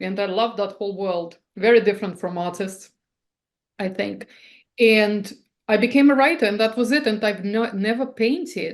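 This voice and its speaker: The speaker has a non-native accent, talking at a moderate pace with ordinary pitch variation. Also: woman, fairly high pitch for a woman. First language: not English. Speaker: artist and writer. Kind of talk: interview. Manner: halting, with restarts; animated.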